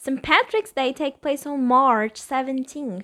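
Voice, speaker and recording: Over a silent background in a very clean recording, a woman with a Portuguese accent speaks at a high pitch in an animated tone with ordinary pitch variation. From Brazil. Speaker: podcast host. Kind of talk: casual interview.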